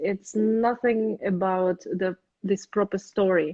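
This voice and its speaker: A woman speaks in a Russian accent with ordinary pitch variation. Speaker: opera singer. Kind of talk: interview. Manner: halting.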